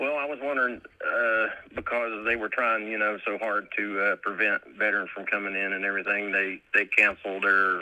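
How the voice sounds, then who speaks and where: A man speaks at a fairly quick pace with an Appalachian accent. His fairly low voice keeps a fairly even intonation. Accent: Appalachian American. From West Virginia. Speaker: caller, military veteran. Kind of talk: personal testimony. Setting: phone call. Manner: laughs often, halting.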